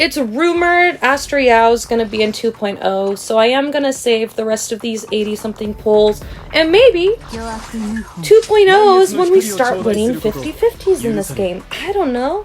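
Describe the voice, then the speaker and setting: Against noticeable background noise, a woman with a high pitch speaks at a moderate pace in an animated tone, her pitch swinging very widely. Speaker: gaming YouTuber. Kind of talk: casual vlog commentary.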